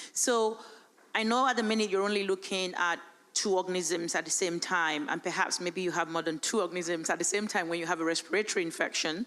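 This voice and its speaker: Talking very fast at a medium pitch, a woman keeps her loudness very even with ordinary pitch variation. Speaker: conference audience member. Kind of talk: audience question.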